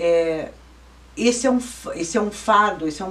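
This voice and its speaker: Amid noticeable background noise, a woman speaks at a moderate pace and a medium pitch with ordinary pitch variation. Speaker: lawyer and law professor. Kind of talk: interview.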